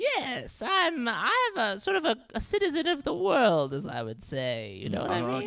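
A female-sounding, put-on character voice speaks at a fairly high pitch. The pace is moderate, with hardly any pauses.

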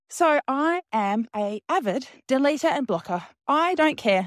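This woman has a high pitch and very wide pitch swings at a fairly slow pace. The recording is very clean, with a silent background and a dry, close sound with no echo. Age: 40s. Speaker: podcast host. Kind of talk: casual monologue voice note. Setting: outdoors walking dogs.

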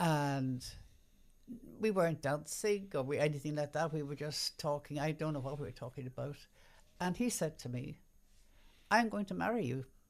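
A woman with an Irish accent, very deep, low pitch, lively intonation and long, frequent pauses. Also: moderate pace. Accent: Irish, mild, refined. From Ireland. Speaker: radio announcer. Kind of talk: casual chat, interview.

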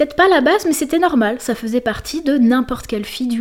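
A woman with lively intonation. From southern France, Marseille. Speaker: gender researcher and feminist activist. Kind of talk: interview. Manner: hesitant, many fillers.

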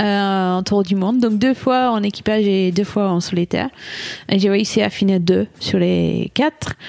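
A fairly slow, very evenly loud delivery in a British accent, with fairly even intonation. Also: woman, medium pitch for a woman. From England. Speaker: solo ocean sailor. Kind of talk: interview. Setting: studio.

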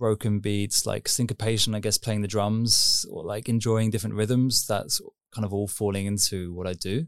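The recording is very clean, with a silent background. A man with a southern English accent speaks at a fairly low pitch with fairly even intonation. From southern England, Surrey near London. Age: 30s. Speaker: techno DJ and producer. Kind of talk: interview. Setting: on camera.

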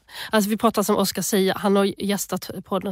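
Recorded dry and close with no echo, a woman talks very fast at a medium pitch. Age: 30s. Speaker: podcast host. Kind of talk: casual chat.

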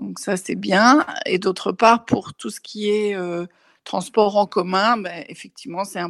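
In a dry, close sound with no echo and a quiet background, a woman speaks very slowly with vocal fry and ordinary pitch variation. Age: 60s. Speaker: testimony contributor, audiovisual worker. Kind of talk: testimony. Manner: halting.

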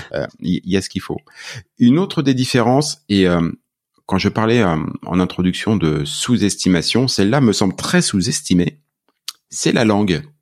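A man speaks with long, frequent pauses. His pitch sits fairly low, and his intonation is lively. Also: fairly slow pace. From France. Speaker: podcast host. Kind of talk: casual interview.

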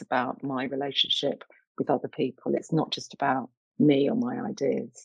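In a London accent, a woman with a very deep, low pitch talks at a moderate pace, her voice making very wide pitch swings in a dry, close sound with no echo. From East London, England. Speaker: arts director and curator. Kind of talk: interview.

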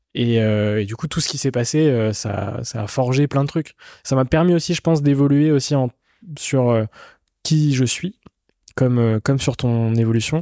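In a very clean recording with a silent background and a dry, close sound with no echo, a man with a dark, mellow tone and medium pitch speaks at a fairly slow pace with ordinary pitch variation and long, frequent pauses. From Brittany, France (Rennes). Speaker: podcast host. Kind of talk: casual interview. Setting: hotel recording.

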